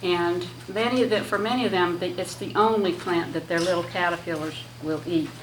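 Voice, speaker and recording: Lively in intonation, a woman speaks at a moderate pace amid noticeable background noise and audible room echo. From Michigan, US Midwest. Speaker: butterfly enthusiast speaker. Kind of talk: talk to a lunch group. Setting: room with audience, PA microphone. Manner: hesitant, many fillers.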